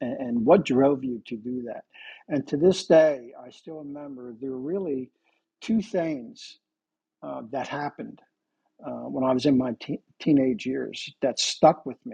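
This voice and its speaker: With an American accent, a man speaks at a medium pitch and a fairly slow pace, in a dark, mellow tone with ordinary pitch variation. His loudness swings widely, and the sound is dry and close with no echo. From central New Jersey. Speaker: company founder, former detective. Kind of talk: interview.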